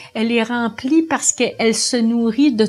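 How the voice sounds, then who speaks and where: An ordinary speaking voice is heard. The speed is moderate. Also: woman. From Quebec, Montreal. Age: 60s. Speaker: union leader. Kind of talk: interview testimony.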